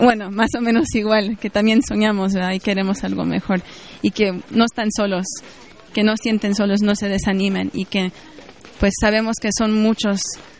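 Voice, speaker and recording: Over crowd noise, a woman talks at a moderate pace and medium pitch. Her intonation is monotone and flat. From Mexico. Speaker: activist in migrant justice organization. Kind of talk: interview answers.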